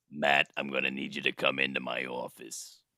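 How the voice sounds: This is a gravelly, put-on character voice. It moves at a moderate pace. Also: man, very deep, low pitch for a man.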